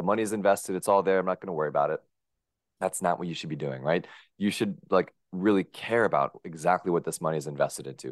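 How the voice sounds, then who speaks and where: A man with a very deep, low pitch and vocal fry talks at a very fast pace with ordinary pitch variation. The sound is dry and close with no echo, against a quiet background. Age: 20s. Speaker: personal finance podcaster and angel investor. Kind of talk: interview.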